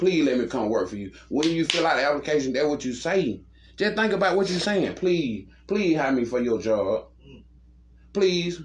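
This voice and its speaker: A man with a fairly high pitch swings very widely up and down in his intonation. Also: moderate pace. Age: 30s. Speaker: podcast host. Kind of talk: casual chat. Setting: downstairs room, in person.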